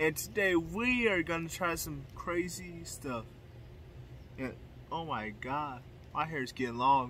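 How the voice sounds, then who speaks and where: The voice's pitch swings very widely, the sound is dry with no echo, and light background noise is present. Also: man. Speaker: youtuber. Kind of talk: casual vlog chat. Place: garden. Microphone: phone near.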